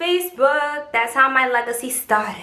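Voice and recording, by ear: The woman's voice sits high in pitch, with ordinary variation and a bright, sharp tone. Room echo is audible around her.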